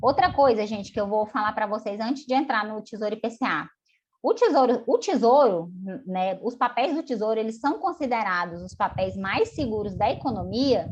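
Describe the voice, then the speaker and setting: Her voice has some breathiness and lively intonation. The woman keeps a moderate pace. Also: fairly high pitch for a woman. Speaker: finance educator. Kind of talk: live online class. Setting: video call. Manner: animated.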